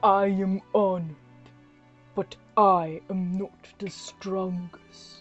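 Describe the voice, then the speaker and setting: A woman does a put-on character voice at medium pitch, monotone and flat in intonation. She goes at a very slow pace with long, frequent pauses while faint music plays in the background. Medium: read story. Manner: proud, gracious.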